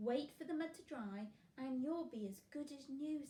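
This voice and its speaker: Someone uses a put-on, croaky character voice at a moderate pace. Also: woman, high pitch for a woman. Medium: read story. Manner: gentle, earnest.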